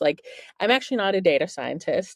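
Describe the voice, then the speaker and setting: A woman talks at a fairly quick pace in a German accent. The background is quiet, and the sound is dry and close with no echo. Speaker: journalist and author. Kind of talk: interview. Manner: casual, filler-heavy.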